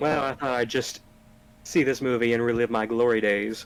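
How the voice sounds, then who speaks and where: A man puts on a character voice. He moves at a moderate pace. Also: medium pitch for a man. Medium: actual play.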